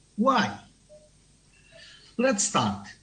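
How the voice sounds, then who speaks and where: Speaking at a very slow pace, a man is heard with audible echo from the room. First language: not English. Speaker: tourism researcher. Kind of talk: conference talk. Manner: halting.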